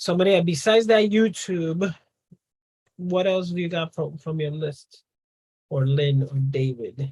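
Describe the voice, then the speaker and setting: Speaking at a fairly slow pace with a Spanish accent, this voice leaves long, frequent pauses. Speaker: business coach. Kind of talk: live Q&A on video call. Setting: video call.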